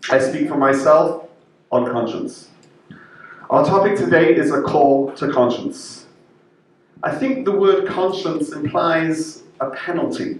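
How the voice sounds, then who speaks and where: A man with a British accent talks at a fairly slow pace, leaving long, frequent pauses. The recording has audible room echo and noticeable background noise. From Israel, born in UK. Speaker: rabbi. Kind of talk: prepared speech. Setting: interfaith event.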